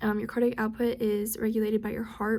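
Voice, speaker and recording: Somewhat breathy, a woman speaks in a fairly high-pitched voice with a dark, mellow tone and flat, monotone intonation. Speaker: student. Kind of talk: study recap. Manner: halting.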